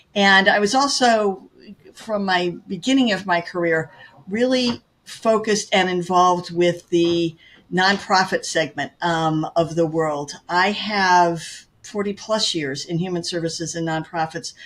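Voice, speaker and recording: Using a normal speaking voice, a woman with medium pitch speaks at a fairly slow pace, recorded very cleanly against a silent background. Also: ordinary pitch variation. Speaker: real estate agent. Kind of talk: interview.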